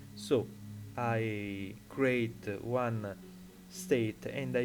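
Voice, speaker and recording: Lively intonation comes at a very slow pace, with an Italian accent. Music plays in the background, and the room echo is audible. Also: man. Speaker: 3D software tutorial maker. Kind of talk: tutorial. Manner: halting, many fillers.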